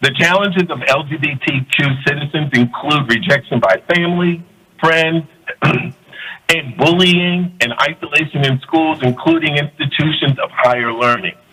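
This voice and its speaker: In an American accent, a man with a fairly high pitch and ordinary pitch variation speaks at a moderate pace over noticeable background noise. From Florida. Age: 60s. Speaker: community center board chair, public commenter. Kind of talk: prepared public comment statement. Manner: formal.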